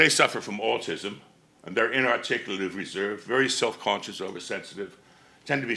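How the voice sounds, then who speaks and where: A man talks at a fairly quick pace in a fairly low pitch with lively intonation. Vocal fry and audible room echo come through. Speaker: conference speaker. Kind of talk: conference presentation. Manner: loud.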